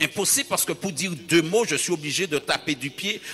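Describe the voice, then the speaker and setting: Music plays behind a man speaking at a moderate pace. His fairly high voice carries lively intonation. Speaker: pastor. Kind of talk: sermon.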